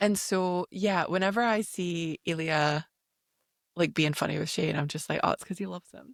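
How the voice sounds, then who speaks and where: Recorded with a dry, close sound and no echo, a woman in a Scottish accent speaks with fairly even intonation and big swings in loudness. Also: fairly low pitch for a woman, moderate pace. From Scotland. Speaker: podcast host. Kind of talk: casual chat.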